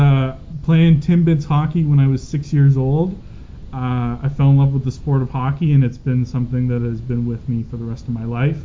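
With a Canadian accent, a man in a plain, everyday voice talks at a fairly high pitch and moderate pace, his intonation fairly even. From Calgary, Canada. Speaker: sports podcast co-host. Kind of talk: casual sports chat.

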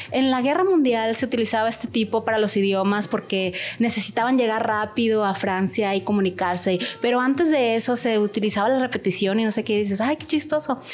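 With noticeable background noise behind her, a woman talks at a fairly quick pace in a fairly high pitch with ordinary pitch variation. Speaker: language school director and translator. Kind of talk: interview.

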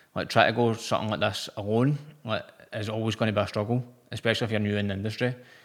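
A fairly low-pitched man with a Lanarkshire accent, very fast and monotone, flat in intonation, on a very clean recording with a silent background. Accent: Scottish (Lanarkshire). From Scotland, Motherwell. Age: 20s. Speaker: personal trainer and bodybuilder. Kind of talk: casual interview.

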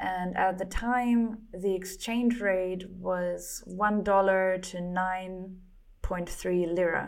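A woman with a German accent speaks at a medium pitch in a monotone, flat way. Her pace is very slow, and audible room echo surrounds her. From Germany. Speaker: comic artist and entrepreneur. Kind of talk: casual interview. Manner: halting, many repetitions and fillers.

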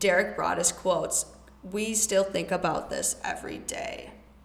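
A woman speaks with noticeable noise in the background. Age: 20s. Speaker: podcast host. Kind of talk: casual monologue; true crime storytelling.

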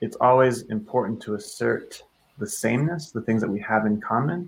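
A man with an American accent, vocal fry and a fairly quick pace. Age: 30s. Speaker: leadership coach and author. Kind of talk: casual chat.

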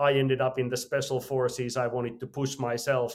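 This man has a Finnish accent. His intonation is fairly even. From Finland. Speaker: entrepreneur and mountaineer. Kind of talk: interview.

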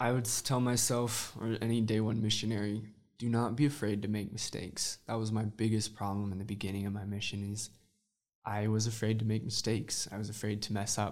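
Talking at a fairly quick clip, a man with an American accent keeps his intonation flat and monotone. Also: fairly low pitch for a man. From Utah. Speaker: church missionary and Spanish teacher. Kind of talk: interview.

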